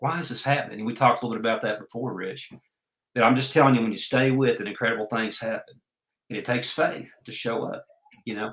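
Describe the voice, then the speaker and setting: In an Oklahoma accent, a man talks at a very fast pace. His medium pitch stays fairly even in intonation. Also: big swings in loudness. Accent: US Southern (Oklahoma). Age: 60s. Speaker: entrepreneur and life coach. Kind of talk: interview.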